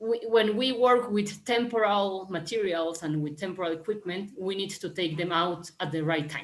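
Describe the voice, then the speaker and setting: Spoken in a Spanish accent at a moderate pace, the delivery has ordinary pitch variation and hardly any pauses. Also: woman, medium pitch for a woman. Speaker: panelist, urban planning practitioner. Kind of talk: panel discussion. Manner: halting, many fillers and repetitions.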